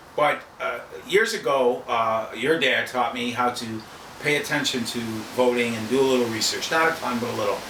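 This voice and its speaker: With an American accent, a man speaks at medium pitch with ordinary pitch variation, over noticeable background noise and audible room echo. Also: moderate pace. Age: 60s. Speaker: podcast co-host. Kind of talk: casual chat. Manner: animated.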